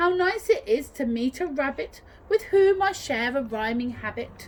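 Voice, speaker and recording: A woman does a put-on character voice at a high pitch with very wide pitch swings and a moderate pace, over clear background noise. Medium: read story.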